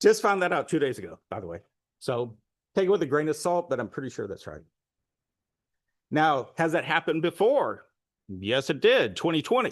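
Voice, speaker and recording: Against a quiet background, a man talks at a fairly high pitch with vocal fry. His pitch swings are very wide, and he takes long, frequent pauses. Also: moderate pace. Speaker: public commenter presenting election data. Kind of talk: public comment presentation.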